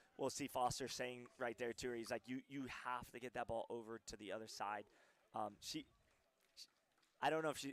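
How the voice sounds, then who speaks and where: A man's medium-pitched voice at a very fast pace, with fairly even intonation and a dry, close sound with no echo. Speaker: pickleball commentator. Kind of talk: live commentary. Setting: courtside at a tournament. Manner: loud, projecting.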